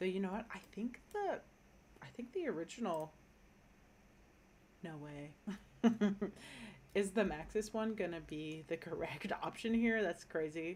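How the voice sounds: A woman speaks at a fairly slow pace in a fairly low pitch, with lively intonation, long, frequent pauses and a slightly mellow tone.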